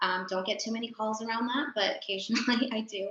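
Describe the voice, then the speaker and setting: A woman with an American accent, fairly high pitch, a fairly quick pace, ordinary pitch variation and an unremarkable speaking voice. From US, San Diego California. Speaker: clinical psychologist. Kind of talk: panel talk.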